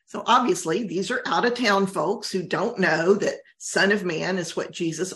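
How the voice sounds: Pitch moves in an ordinary way here. The voice is a natural reading voice.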